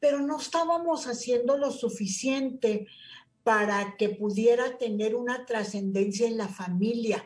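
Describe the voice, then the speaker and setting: The pace is fairly slow. A woman speaks with a high-pitched voice. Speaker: nonprofit director. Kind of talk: interview.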